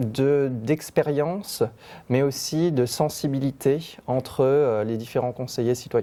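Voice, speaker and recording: A man with a dark, mellow tone and medium pitch talks at a very slow pace with fairly even intonation. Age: 20s. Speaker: citizen council member. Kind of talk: interview testimony.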